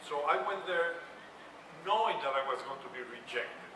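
With noticeable background noise and audible room echo, a high-pitched man speaks at a moderate pace. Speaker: panelist. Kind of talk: panel storytelling. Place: hall.

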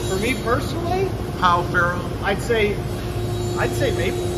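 Loud background noise fills the clip. Over it, a man talks at a moderate pace. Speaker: guitar factory worker. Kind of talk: interview answer. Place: factory. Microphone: phone near.

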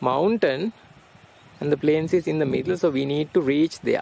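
Dry, echo-free speech with ordinary pitch variation comes through noticeable background noise. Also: man. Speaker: travel vlogger. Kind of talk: travel vlog narration. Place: open country.

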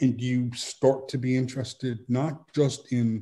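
A man's somewhat breathy voice with a dark, mellow tone, at a fairly slow pace over a quiet background. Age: 60s. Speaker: author; guest. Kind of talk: interview. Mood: thoughtful, measured. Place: home room. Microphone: video call.

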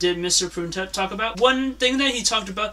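At a fairly quick pace, a man speaks in a raised, projected voice with ordinary pitch variation. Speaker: presenter. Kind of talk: school presentation. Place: home room. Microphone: phone near.

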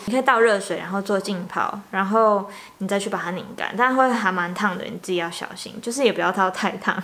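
At a moderate pace, a woman talks with ordinary pitch variation. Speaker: beauty vlogger. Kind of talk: tutorial. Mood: calm, relaxed. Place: home room. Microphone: camera far.

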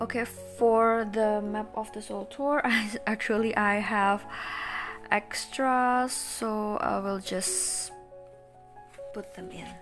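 Clear music plays in the background as the speech moves at a very slow pace with fairly even intonation. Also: woman, fairly high pitch for a woman. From Indonesia. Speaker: collector vlogger. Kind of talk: casual talk to camera. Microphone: phone near.

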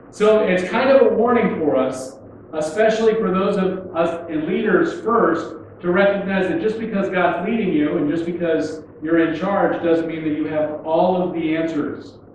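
Amid strong room echo and light background noise, a man speaks at a high pitch and moderate pace, with ordinary pitch variation. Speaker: pastor. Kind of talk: sermon. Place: church.

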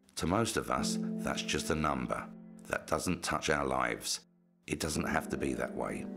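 A man with a very deep, low pitch speaks at a fairly slow pace with lively intonation. Clear music plays in the background. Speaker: voice actor; presenter. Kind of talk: charity appeal.

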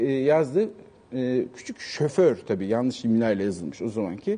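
A man speaks in a dark, mellow tone at a moderate pace. His pitch swings very widely. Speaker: writer and former TV presenter; talk show guest. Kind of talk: casual interview chat. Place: studio. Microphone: lapel.

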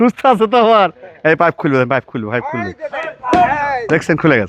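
Very wide swings in pitch run through this man's speech. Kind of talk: vlog walking tour narration. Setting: outdoors, walking through a village.

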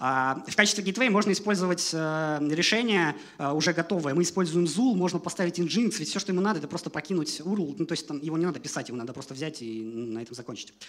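The pace is very fast. Intonation is lively throughout. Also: man, high pitch for a man. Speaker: software developer, conference speaker; conference speaker. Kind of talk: conference talk. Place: hall. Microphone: headset.

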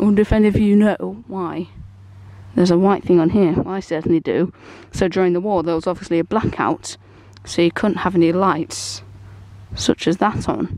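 With an ordinary speaking voice, a woman talks at a fairly quick pace and fairly low pitch, her pitch varying in an ordinary way, in a dry sound with no echo and a quiet background. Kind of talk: tutorial walk-around commentary. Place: garden.

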